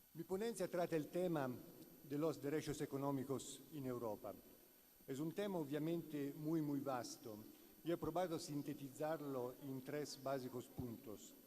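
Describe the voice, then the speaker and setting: A man speaks with an Italian accent at a fairly high pitch. His pace is fairly slow, with ordinary pitch variation. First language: Italian (speaking Spanish). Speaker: law professor. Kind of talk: conference lecture read aloud. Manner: halting.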